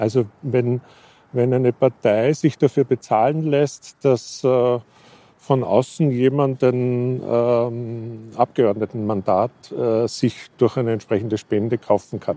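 Very slowly, a man speaks at a medium pitch with fairly even intonation. His tone is dark and mellow, and the sound is dry and close with no echo. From rural Austria. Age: 60s. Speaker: media historian and professor. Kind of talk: interview. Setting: outdoors on a rooftop.

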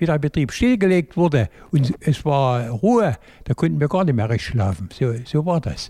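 A man's somewhat breathy, dark and mellow voice sits at a fairly high pitch, swinging very widely in pitch at a moderate pace while his loudness stays very even. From Saxony, Braunsdorf near Chemnitz. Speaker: retired textile technician, volunteer. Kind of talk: interview. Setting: museum beside loom.

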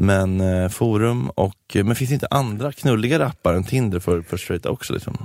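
The speaker has a plain, everyday voice with lively intonation at a moderate pace. The sound is dry and close with no echo. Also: man, fairly low pitch for a man. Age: 30s. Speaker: podcast co-host. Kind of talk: casual chat.

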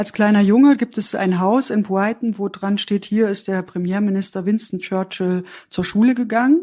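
This woman has a dark, mellow tone and a medium pitch, speaking at a moderate pace with fairly even intonation on a very clean recording with a silent background. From eastern Germany (GDR), Erfurt, Thuringia. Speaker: author and literary critic. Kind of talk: interview at a book premiere; reading aloud from own book. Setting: stage with live audience.

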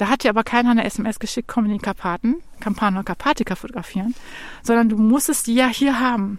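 Rattling along at a very fast pace, a woman speaks in a fairly high pitch with ordinary pitch variation. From Germany, Wuppertal. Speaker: gardener and garden designer. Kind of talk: casual interview on a garden walk. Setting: outdoors in snowy nursery garden.

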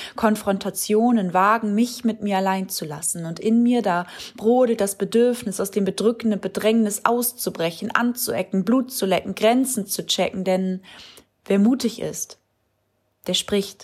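Here a woman talks at a fairly slow pace, in a fairly high, somewhat breathy voice. Her intonation stays fairly even. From Hamburg. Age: 20s. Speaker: poetry slammer. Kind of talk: poetry slam performance.

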